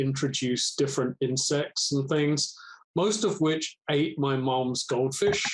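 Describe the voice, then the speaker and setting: A man with a British accent, fairly high-pitched, at a fairly slow pace. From England, London. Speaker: environmental research program manager. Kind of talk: podcast interview. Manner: halting.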